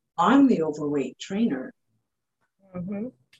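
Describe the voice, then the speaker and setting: This voice is somewhat breathy, with very wide pitch swings and a Canadian accent. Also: woman. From Canada, Ottawa, Ontario. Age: 50s. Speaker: fitness trainer. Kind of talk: interview.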